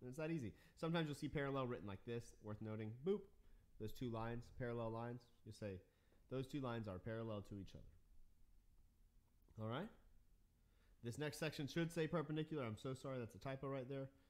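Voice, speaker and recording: At a very fast pace with long, frequent pauses, a man speaks in an upbeat tone at medium pitch with ordinary pitch variation. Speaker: math teacher. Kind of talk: tutorial. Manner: casual, upbeat.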